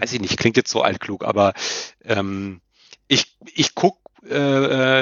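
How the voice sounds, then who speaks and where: This man's pitch sits in the medium range, with ordinary variation. He speaks at a very slow pace. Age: 30s. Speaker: football commentator and journalist. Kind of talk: casual interview chat.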